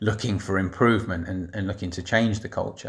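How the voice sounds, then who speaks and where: A somewhat breathy man with a London accent, fairly low in pitch, at a fairly quick pace with fairly even intonation, in a very clean recording with a silent background. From north London, England. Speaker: secondary school head teacher. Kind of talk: reflective monologue.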